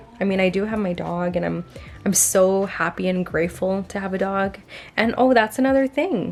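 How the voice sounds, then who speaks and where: With music in the background, a woman of medium pitch speaks with ordinary pitch variation. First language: not English. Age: 20s. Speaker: lifestyle vlogger. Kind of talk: casual vlog monologue.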